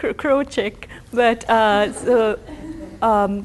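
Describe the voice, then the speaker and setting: A woman with a Tamil accent. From India, Tamil. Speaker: professor. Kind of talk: lecture. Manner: halting, many fillers and restarts.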